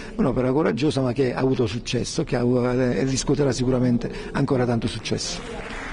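Light background noise sits behind a man whose fairly quick speech keeps fairly even intonation. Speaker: politician. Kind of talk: interview answer. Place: hall. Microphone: handheld.

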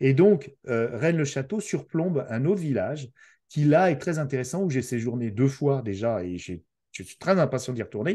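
A man's dark, mellow voice with lively intonation, big swings in loudness, a moderate pace and a quiet background. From France. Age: 50s. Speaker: podcaster. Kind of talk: casual chat. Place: home room. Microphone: video call.

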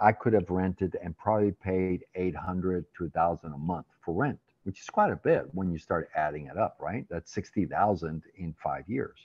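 Hardly pausing at all, a man talks at a very deep, low pitch with ordinary pitch variation and a dry sound with no echo. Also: moderate pace. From raised in Latin America (Venezuela etc.), born in the Netherlands. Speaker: real estate professional, former professor; former professor. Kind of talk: interview. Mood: candid, reflective. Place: home room. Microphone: video call.

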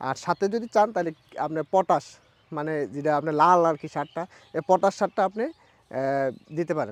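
A man's high pitch with ordinary variation, in a dry, close sound with no echo. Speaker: grass farmer. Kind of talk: casual interview.

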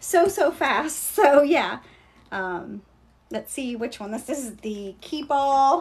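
Very slowly, a woman with an American accent talks at a high pitch, her voice swinging very widely in pitch and greatly in loudness. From Kentucky, US South. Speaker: online seller of luxury bags. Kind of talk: live shopping stream. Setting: livestream. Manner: casual, chatty. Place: shop. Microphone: phone near.

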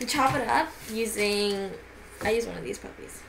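With audible room echo, a woman speaks at a medium pitch and moderate pace, her fairly bright tone carrying lively intonation and vocal fry.

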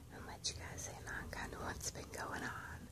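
Loud background noise beneath fairly slow speech. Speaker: textile crafter. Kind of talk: soft spoken POV ramble. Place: home room. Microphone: phone near.

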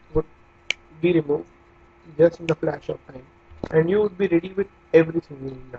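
In an Indian accent, a man speaks with a fairly high pitch. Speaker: digital marketing coach. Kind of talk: tutorial. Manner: casual, many hesitations.

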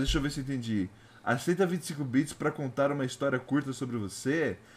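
With a fairly high pitch and an animated tone, a man talks at a fairly quick pace with ordinary pitch variation on a very clean recording with a silent background. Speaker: VTuber streamer. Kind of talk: live gaming stream chat. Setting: home studio live stream.

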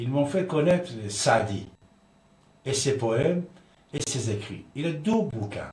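A man with a Persian accent, very slow pace, and audible room echo. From Iran. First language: Persian (speaking French). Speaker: radio host; commentator. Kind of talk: radio talk show monologue. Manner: halting. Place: studio.

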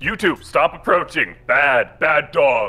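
Putting on a character voice, a man speaks at a very slow pace over faint background music.

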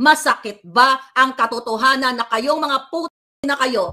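Against a quiet background, a woman with a high pitch and a bright, sharp tone sounds furious, her raised, projected voice moving at a fairly slow pace with ordinary pitch variation. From Philippines. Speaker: political commentator vlogger. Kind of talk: angry rant. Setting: Pinoy living in the US. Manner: loud, furious, insulting; sarcastic, taunting. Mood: indignant defiant. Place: home room. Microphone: phone near.

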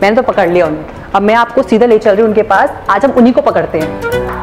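A woman's fairly high voice at a fairly quick pace with ordinary pitch variation, over clear music in the background. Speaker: news anchor / journalist. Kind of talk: phone conversation, playful. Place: office.

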